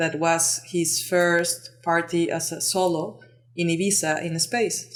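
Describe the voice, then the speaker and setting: A woman speaks with a Mexican accent. Her pitch sits fairly low. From Mexico. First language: Spanish. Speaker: lighting designer and entrepreneur. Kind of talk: podcast interview. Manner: halting, many fillers.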